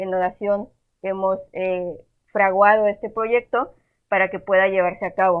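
A woman talks at a fairly slow pace. Her medium pitch carries a monotone, flat intonation. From Monterrey, northern Mexico. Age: 20s. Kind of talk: casual chat.

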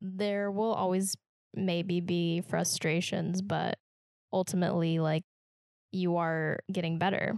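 In an American accent, a woman speaks at a very slow pace with long, frequent pauses, a fairly low pitch, monotone, flat intonation and very even loudness, recorded dry and close with no echo. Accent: Midwestern American, slight Southern touch. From Kansas, US Midwest. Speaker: podcast host. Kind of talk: casual chat.

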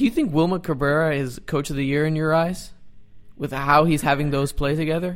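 Spoken at a fairly quick clip with fairly even intonation, this is an unremarkable speaking voice with an American accent. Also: man, fairly high pitch for a man. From Dallas, Texas. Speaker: soccer podcast co-host. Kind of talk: casual chat.

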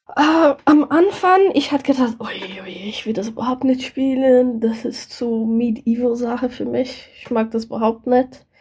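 Against noticeable background noise, a woman talks at a fairly slow pace in a high pitch, with ordinary pitch variation and big swings in loudness. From Brazil. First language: Portuguese (speaking German). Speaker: board game enthusiast, co-host's partner. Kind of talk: casual chat. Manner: halting.

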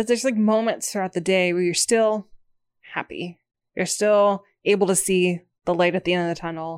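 A woman with a medium pitch speaks at a moderate pace with fairly even intonation in an unremarkable speaking voice. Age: 30s. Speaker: co-host. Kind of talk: casual chat.

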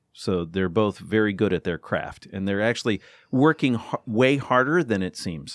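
Recorded very cleanly against a silent background, with a dry, close sound and no echo, a man uses a plain, everyday voice that is fairly low in pitch and lively in intonation. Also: moderate pace. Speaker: former public radio journalist, podcaster. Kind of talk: casual chat. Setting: studio.

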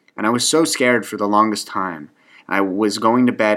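With a Canadian accent, a man talks at a fairly quick pace in a fairly low voice that has a bright, sharp tone and ordinary pitch variation. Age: 20s. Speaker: podcast host. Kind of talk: casual monologue. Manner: halting, self-conscious.

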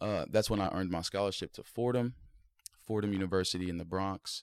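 In a plain, everyday voice with an American accent, the speaker keeps a fairly even intonation, recorded very clean on a silent background with a dry, close sound and no echo. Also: man. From Ohio. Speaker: podcast co-host, former college football player. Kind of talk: casual chat.

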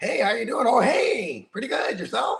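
A put-on character voice is used here. The pace stays moderate. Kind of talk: casual greeting. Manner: polite, friendly.

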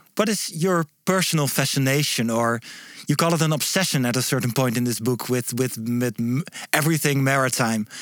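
A man with a Dutch accent, medium pitch, ordinary pitch variation, very even loudness and a fairly quick pace. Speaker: podcast host. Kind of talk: interview. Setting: studio. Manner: halting.

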